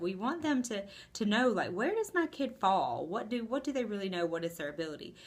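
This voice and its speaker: In an animated tone, a woman talks at a fairly quick pace, her pitch swinging very widely. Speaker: school administrator. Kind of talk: video blog. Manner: fast.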